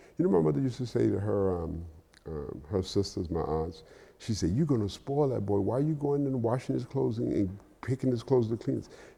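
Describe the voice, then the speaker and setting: Fairly quick, somewhat breathy speech from a man with an American accent, a fairly low pitch, a dark, mellow tone and very wide pitch swings. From Miami, Florida. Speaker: real estate developer. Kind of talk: interview. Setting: stage with audience.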